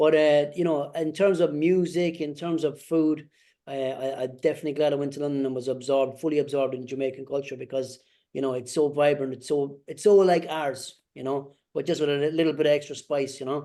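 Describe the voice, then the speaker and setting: A man's fairly high, dark, mellow voice in an Irish accent, at a fairly quick pace with fairly even intonation. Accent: Irish accent kept. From Ireland. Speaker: returned emigrant. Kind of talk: panel discussion.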